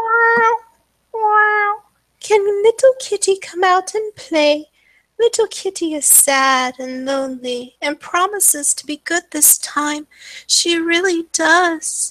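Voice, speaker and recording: A woman puts on a character voice with an extremely high pitch. She speaks fairly slowly. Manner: plaintive, pleading.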